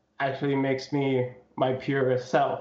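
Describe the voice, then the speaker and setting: Fairly slow delivery from a man with a medium-pitched voice. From Zambia. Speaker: hip hop artist. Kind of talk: interview. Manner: soft-spoken; halting, many fillers.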